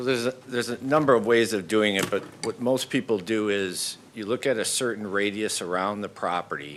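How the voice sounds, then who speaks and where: At a fairly quick pace, a man with an unremarkable speaking voice talks in a fairly low pitch. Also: ordinary pitch variation. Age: 60s. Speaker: developer applicant. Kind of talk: public meeting testimony.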